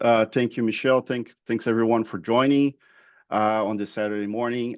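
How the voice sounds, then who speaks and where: A man speaks at a medium pitch with flat, monotone intonation against a quiet background. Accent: Brazilian Portuguese. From Brazil. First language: Portuguese. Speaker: process improvement manager. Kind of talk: webinar interview. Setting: online webinar. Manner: halting, many fillers and repeats.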